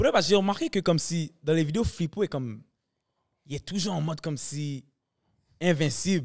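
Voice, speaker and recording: Against a quiet background, a man talks at a moderate pace with ordinary pitch variation and long, frequent pauses. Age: 20s. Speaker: comedian and sketch video maker; podcast guest, actor, comedian. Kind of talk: casual chat. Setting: studio. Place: studio. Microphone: studio mic.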